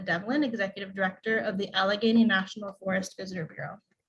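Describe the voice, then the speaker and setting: A woman's somewhat breathy voice at a very fast pace, with fairly even intonation. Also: hardly any pauses, big swings in loudness. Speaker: event emcee. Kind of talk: awards ceremony hosting. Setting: video call.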